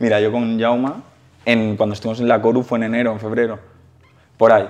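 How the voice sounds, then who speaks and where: A man talks at a very fast pace. His medium pitch stays monotone and flat. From Valencia, Spain. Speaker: youtuber interviewer. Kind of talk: casual interview.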